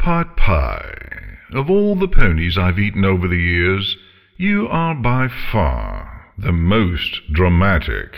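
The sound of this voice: In a put-on character voice, a man speaks slowly with few pauses, his low pitch swinging very widely through vocal fry.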